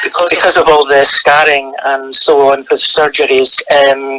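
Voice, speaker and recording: Over noticeable background noise, a man with a Scottish accent speaks at a moderate pace. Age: 60s. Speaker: retired PR director, ostomy patient. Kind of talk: interview testimony. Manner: hesitant, many fillers.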